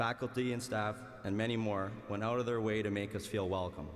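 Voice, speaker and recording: A man speaks with a Canadian accent and a fairly low pitch. His intonation stays fairly even, and room echo is audible. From Canada, Winnipeg, Manitoba. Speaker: graduating student, valedictorian. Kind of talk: commencement speech. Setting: arena with large audience.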